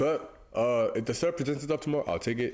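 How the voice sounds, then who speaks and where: A man's voice at a fairly quick pace, full of lively intonation. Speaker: forex trader, video creator. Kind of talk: trading chart breakdown tutorial. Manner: casual, hesitant with fillers.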